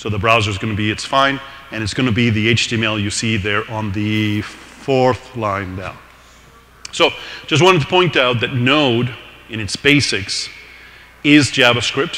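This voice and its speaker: Speaking at a moderate pace with a non-native accent, this voice shows ordinary pitch variation and long, frequent pauses over noticeable background noise. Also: man, medium pitch for a man. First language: not English. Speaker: tech meetup presenter. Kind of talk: technical presentation. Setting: live meetup with audience.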